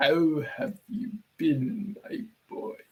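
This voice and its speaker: A man puts on a raspy character voice pitched high for a man. His pitch swings very widely. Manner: warm, affectionate.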